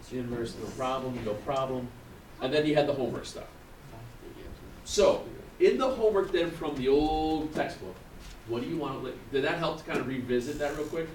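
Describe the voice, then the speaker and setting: A man with a fairly high voice talks at a fairly quick pace, with long, frequent pauses and ordinary pitch variation. The room echo is audible and the background noise is noticeable. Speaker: math teacher. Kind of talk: classroom lecture. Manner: fast.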